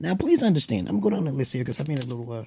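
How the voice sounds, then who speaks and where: A man's medium-pitched voice, somewhat breathy, with a dark, mellow tone. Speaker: vlogger giving opinions on social topics. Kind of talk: casual monologue vlog. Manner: animated, self-described not monotone; halting with many fillers and repetitions.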